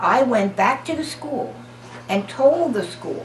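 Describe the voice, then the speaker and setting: Someone with an American accent talks at a very slow pace over noticeable background noise. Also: woman. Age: 80s+. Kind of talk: oral history interview answer.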